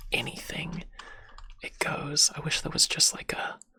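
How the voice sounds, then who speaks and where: Someone whispers at a fairly slow pace. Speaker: ASMR streamer. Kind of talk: ASMR livestream chat. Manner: whispering; halting.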